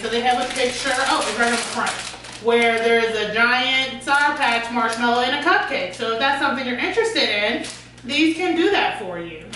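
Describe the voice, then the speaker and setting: Noticeable background noise and audible room echo around a high-pitched woman at a moderate pace. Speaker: food reviewer. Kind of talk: casual vlog chat. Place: kitchen. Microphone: camera far.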